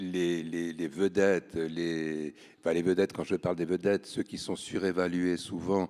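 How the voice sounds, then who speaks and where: Very slow and monotone, a man with a very deep, low pitch speaks in a dark, mellow tone with flat intonation. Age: 70s. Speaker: art publisher. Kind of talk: panel discussion. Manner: halting, with many repetitions.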